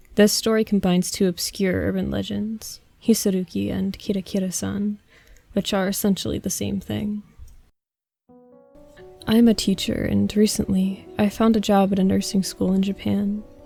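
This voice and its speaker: With music playing in the background, a woman speaks at a moderate pace. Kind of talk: horror story narration. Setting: home recording with fan noise.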